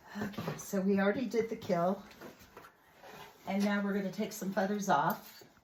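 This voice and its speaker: Monotone, flat intonation at a moderate pace, with long, frequent pauses and noticeable background noise. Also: woman, medium pitch for a woman. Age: 60s. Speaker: homesteader. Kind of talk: casual talk to camera.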